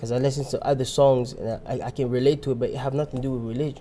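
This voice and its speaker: Speaking at a very fast pace in a Congolese accent, a man has a dark, mellow tone and monotone, flat intonation. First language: Lingala. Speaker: rapper. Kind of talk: interview. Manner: halting, many restarts.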